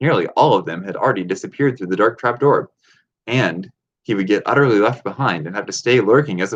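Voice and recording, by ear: Reading aloud in a natural voice, with lively intonation, over a quiet background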